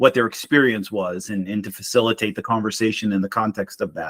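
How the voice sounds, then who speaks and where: Lively intonation and a slight Boston accent come through in a dry, close sound with no echo. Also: man. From Boston, Massachusetts. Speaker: marriage mentor. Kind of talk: casual interview.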